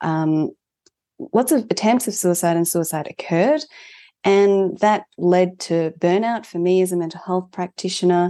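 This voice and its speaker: Speaking at a fairly slow pace with an Australian accent, a woman has a fairly low pitch, a dark, mellow tone and ordinary pitch variation over a quiet background. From Melbourne, Australia (born in Japan, moved at four). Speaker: mental health organisation founder, therapist. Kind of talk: interview conversation.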